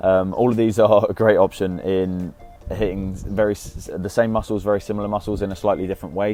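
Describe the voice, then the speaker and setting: Music plays in the background as a man talks at a fairly quick pace with a British accent. His intonation stays fairly even. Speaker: fitness youtuber. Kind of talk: tutorial. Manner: halting, with fillers.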